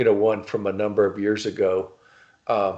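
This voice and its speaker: A man with a Louisiana accent speaks in a fairly low pitch with a dark, mellow tone and monotone, flat intonation over a quiet background. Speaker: novelist and writing instructor. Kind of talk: casual interview chat. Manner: halting, many fillers.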